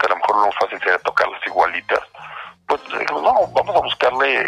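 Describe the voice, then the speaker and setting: A man talks fairly quickly, with noticeable background noise around him. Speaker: band singer. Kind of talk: interview.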